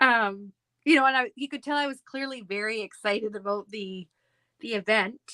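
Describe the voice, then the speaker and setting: In a plain, everyday voice, a woman with a Canadian accent speaks at a moderate pace and a fairly high pitch, with ordinary pitch variation and a dry, close sound with no echo. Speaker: scrapbooking crafter. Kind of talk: casual chat.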